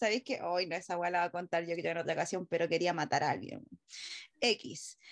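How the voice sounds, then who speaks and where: With a Chilean accent, a woman speaks at a fairly quick pace with a fairly low pitch and ordinary pitch variation. The sound is dry and close, with no echo. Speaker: podcast host. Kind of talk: casual chat.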